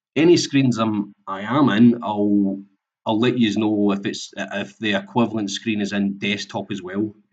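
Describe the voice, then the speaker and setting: In a Scottish accent, a man speaks at a fairly slow pace. His fairly low voice keeps a fairly even intonation. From Scotland. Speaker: software implementation consultant. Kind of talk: webinar presentation. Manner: halting, many fillers.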